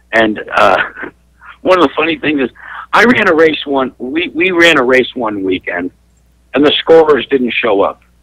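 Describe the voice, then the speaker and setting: At a moderate pace, a bright, sharp voice with vocal fry swings very widely in pitch and leaves long, frequent pauses, all in a dry, close sound with no echo. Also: man, fairly high pitch for a man. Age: 60s. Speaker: race track promoter. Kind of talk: radio talk show interview. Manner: animated.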